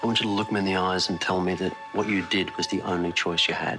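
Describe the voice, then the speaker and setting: Over clear music in the background, a man talks very fast at a very deep, low pitch, in a flat monotone with very even loudness. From Australia. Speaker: actor. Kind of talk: acting scenes from film and TV. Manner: intense, threatening. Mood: angry, accusatory, threatening.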